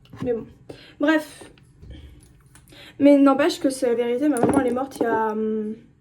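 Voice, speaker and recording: Against noticeable background noise, a woman with a high pitch and ordinary pitch variation speaks with long, frequent pauses. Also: moderate pace. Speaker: vlogger. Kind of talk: casual monologue vlog. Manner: halting.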